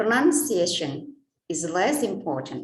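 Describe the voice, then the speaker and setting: In an Indonesian accent, a somewhat breathy woman of medium pitch speaks at a very slow pace with very wide pitch swings, and audible room echo is present. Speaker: English lecturer. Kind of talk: conference presentation.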